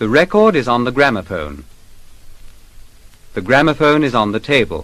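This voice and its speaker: With a British accent, a man speaks at medium pitch, with vocal fry and very wide pitch swings. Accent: 1950s British Received Pronunciation. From England. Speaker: language course teacher. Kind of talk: language lesson recording. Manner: slow; clear, careful enunciation.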